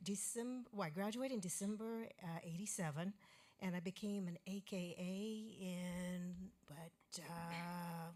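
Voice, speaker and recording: Speaking at a fairly slow pace, a woman uses fairly even intonation in a plain, everyday voice. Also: medium pitch for a woman. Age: 60s. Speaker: sorority alumna. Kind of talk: audience comment. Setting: stage with audience.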